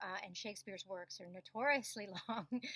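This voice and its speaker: A woman's bright, sharp voice at medium pitch, moderate pace and ordinary pitch variation. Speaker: voice and acting coach; classically trained actor. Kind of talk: online course introduction to camera.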